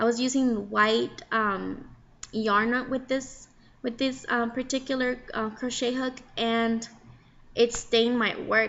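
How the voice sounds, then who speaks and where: Delivery is monotone and flat, at a fairly slow pace. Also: woman. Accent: Mexican. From Mexico. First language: Spanish. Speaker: crochet hobbyist vlogger. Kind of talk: casual tutorial. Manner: casual, halting with fillers.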